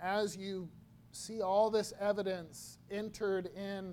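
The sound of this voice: The delivery is an unforced reading voice.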